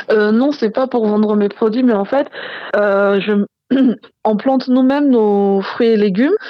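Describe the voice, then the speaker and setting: Using an ordinary speaking voice, a woman talks at a fairly slow pace with ordinary pitch variation. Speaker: soap maker. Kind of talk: casual chat.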